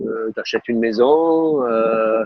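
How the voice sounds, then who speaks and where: A man with a southern French accent talks at a medium pitch with fairly even intonation. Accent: southern French accent, noticeable. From southern France, Var (Toulon area). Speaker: tennis coach, former pro player. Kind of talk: interview conversation. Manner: hesitant, many fillers and repetitions.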